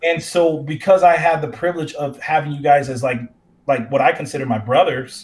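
A man's somewhat breathy, fairly high-pitched voice with an American accent, fairly quick pace and ordinary pitch variation. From North Carolina, US. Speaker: professor. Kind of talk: discussion.

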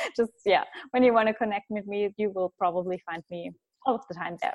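A woman speaks with a German accent at a fairly high pitch. Her pace is fairly quick, and her pitch varies in an ordinary way. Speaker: business and mindset coach. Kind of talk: interview.

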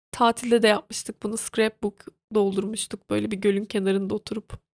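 A woman with a fairly high voice talks at a moderate pace, recorded dry and close with no echo. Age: 20s. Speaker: podcaster. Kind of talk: casual monologue. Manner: animated.

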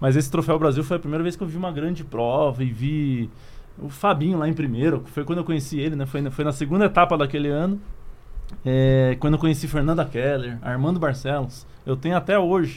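Delivered at a fairly quick pace, this is a normal speaking voice with ordinary pitch variation. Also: man, fairly high pitch for a man. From Curitiba, southern Brazil. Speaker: former Olympic triathlete, youth sports project leader. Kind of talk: casual interview.

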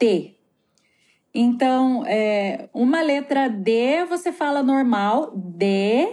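A woman with a high pitch and a dark, mellow tone speaks with lively intonation. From Brazil, Curitiba. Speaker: photographer and educator living abroad. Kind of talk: interview, personal stories. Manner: hesitant, many fillers.

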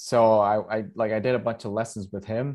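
Over a quiet background, a man with a Spanish accent speaks at a moderate pace in a fairly low pitch with a dark, mellow tone. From Costa Rica. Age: 30s. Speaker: stand-up comedian and podcast host. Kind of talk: casual chat.

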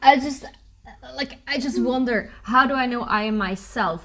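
In a plain, everyday voice, the speaker keeps a moderate pace and a lively intonation. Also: woman. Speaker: podcast co-host. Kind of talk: sponsor read and interview.

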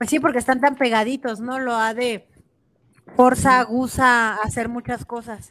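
Her high voice comes at a fairly slow pace, with monotone, flat intonation. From Mexico, Chihuahua. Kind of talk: casual chat.

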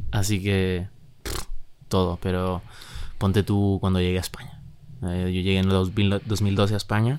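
A man's very deep, low voice at a fairly slow pace, with fairly even intonation and long, frequent pauses. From Chile, Santiago. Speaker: musician, band member. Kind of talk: casual interview chat.

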